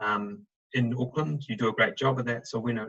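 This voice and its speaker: Fairly quick delivery, lively intonation and a bright, sharp tone in a dry, close sound with no echo. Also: man. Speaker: recruitment director. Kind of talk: webinar presentation. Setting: video call. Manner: fast.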